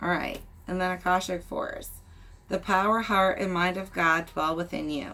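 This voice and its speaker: A bright, sharp tone with fairly even intonation at a fairly slow pace. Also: woman. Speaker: tarot reader. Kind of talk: reading aloud. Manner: casual.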